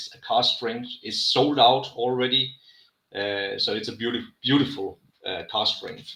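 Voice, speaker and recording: A man speaks with a Danish accent. His loudness swings widely. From Denmark. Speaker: rum brand manager. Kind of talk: live tasting chat. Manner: halting.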